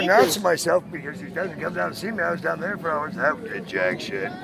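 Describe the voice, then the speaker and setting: A man with a high pitch talks very fast, the sound dry with no echo and noticeable background noise behind him. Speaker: voice-over artist. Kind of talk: heated casual confrontation, self-recorded. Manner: angry, blunt. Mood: agitated, confrontational. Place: street. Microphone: phone near.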